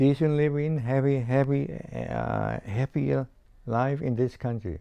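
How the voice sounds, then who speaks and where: A man with a Chinese accent at a fairly slow pace. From China. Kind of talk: interview answer. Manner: hesitant, halting.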